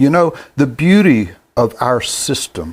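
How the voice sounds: Lively intonation from a man at medium pitch with a slightly mellow tone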